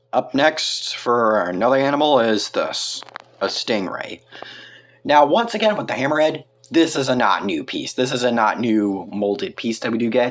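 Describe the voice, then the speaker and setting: Over noticeable background noise, a man at a medium pitch talks at a moderate pace with lively intonation. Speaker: toy review youtuber. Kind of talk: product review. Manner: halting, stutters.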